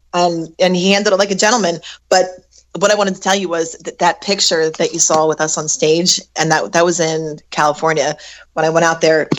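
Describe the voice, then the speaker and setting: At a fairly quick pace, a normal speaking voice delivers its words with fairly even intonation. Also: woman, fairly low pitch for a woman. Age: 40s. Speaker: singer. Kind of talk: casual chat.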